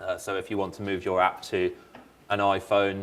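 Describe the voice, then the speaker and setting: A man with a British accent is speaking. His pitch is fairly low and his pace moderate. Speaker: software engineer presenter. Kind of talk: conference presentation. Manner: halting, many fillers.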